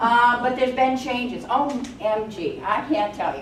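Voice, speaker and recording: Spoken at a moderate pace, the voice carries audible room echo over noticeable background noise. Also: woman. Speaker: workshop presenter, job search counselor. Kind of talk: workshop talk. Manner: loud.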